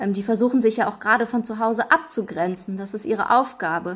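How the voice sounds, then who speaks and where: A woman with a fairly high pitch and ordinary pitch variation keeps a moderate pace while noticeable background noise carries on behind her. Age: 20s. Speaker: clinical psychologist. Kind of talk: podcast interview.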